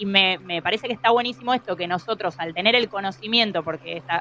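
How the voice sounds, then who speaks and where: Very fast delivery with ordinary pitch variation. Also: woman. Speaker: scientist. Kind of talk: interview. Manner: halting.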